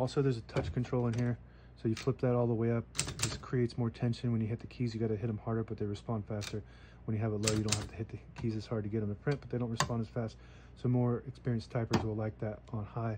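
A man speaks at a very fast pace with monotone, flat intonation. Noticeable background noise sits behind him. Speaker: antique seller. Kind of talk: tutorial. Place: workshop. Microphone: phone near.

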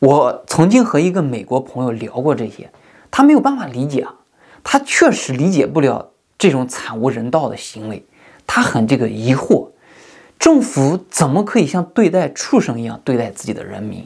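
A man speaks at a moderate pace over a quiet background. His loudness swings widely. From mainland China, rural. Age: 30s. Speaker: YouTuber. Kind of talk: monologue commentary. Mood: earnest, critical. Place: home room.

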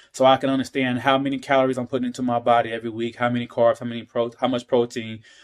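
A man at a very fast pace, monotone and flat in intonation, over a quiet background. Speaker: talk show host vlogger. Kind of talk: casual vlog chat. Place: kitchen. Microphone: phone near.

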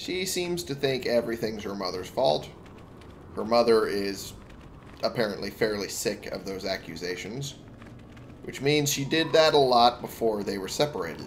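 A man's medium-pitched voice with very wide pitch swings at a moderate pace, with long, frequent pauses. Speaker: gaming YouTuber. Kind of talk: let's play commentary. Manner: casual, reads game dialogue aloud.

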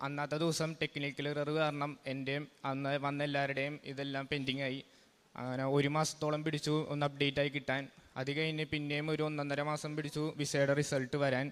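Here a man speaks with a fairly high pitch. His intonation stays monotone and flat. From Kerala, India. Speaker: testimony giver, student. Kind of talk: testimony. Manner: halting.

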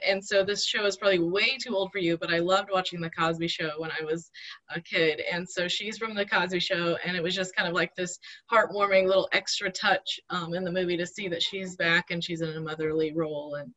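Against a quiet background, a woman with a fairly low pitch and an unremarkable speaking voice talks at a fairly quick pace with fairly even intonation. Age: 30s. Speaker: church friend guest; guest. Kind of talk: casual interview. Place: home room. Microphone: video call.

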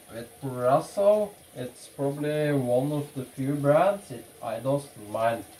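Against light background noise, a man speaks at a fairly high pitch. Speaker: YouTuber demonstrating shaving. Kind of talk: tutorial; casual tutorial vlog chat. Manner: casual, halting with fillers. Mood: relaxed, playful. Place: bathroom. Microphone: camera far.

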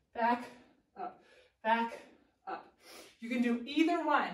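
A woman speaks at a fairly slow pace, and the room echo is audible. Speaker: fitness instructor. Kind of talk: workout instruction. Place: gym. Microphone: camera far.

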